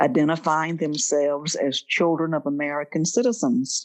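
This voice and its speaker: Speaking fairly slowly, a woman with a Southern US accent has a fairly low voice. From Mississippi Delta. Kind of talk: interview answer.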